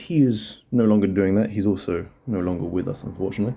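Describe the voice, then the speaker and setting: A man speaks quietly at a moderate pace, his fairly low voice dark and mellow in tone, with ordinary pitch variation. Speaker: woodworking hobbyist. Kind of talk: casual vlog narration.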